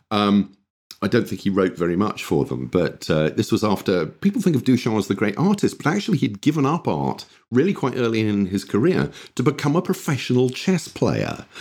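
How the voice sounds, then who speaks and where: A man at medium pitch, with very wide pitch swings and vocal fry. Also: fairly quick pace. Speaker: games designer and historian. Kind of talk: interview chat. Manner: hesitant, self-deprecating.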